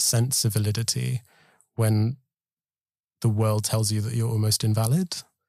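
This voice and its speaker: This man has a medium-pitched, somewhat breathy voice with a dark, mellow tone. He talks at a moderate pace with fairly even intonation, and the sound is dry and close with no echo. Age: late 20s. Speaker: storyteller. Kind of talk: personal testimony.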